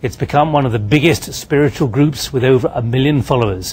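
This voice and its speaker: With noticeable background noise behind him, a man speaks at a fairly quick pace. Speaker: TV news presenter. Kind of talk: TV news anchor introduction.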